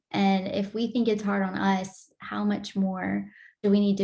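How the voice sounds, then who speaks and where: Somewhat breathy and dark, mellow in tone, a woman's medium-pitched voice moves at a moderate pace. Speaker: podcast host. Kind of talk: casual chat.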